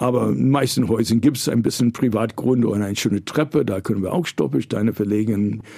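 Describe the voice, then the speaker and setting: Very fast delivery in a dark, mellow tone with lively intonation. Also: man, fairly low pitch for a man. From New York, US. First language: English (speaking German). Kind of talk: interview conversation. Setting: studio.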